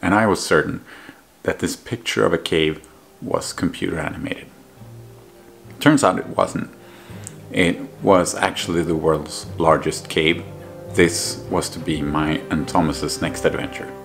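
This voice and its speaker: Faint music plays behind a man with a very deep, low voice. He speaks fairly slowly, with long, frequent pauses. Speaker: travel vlogger. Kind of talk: casual storytelling narration. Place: home room.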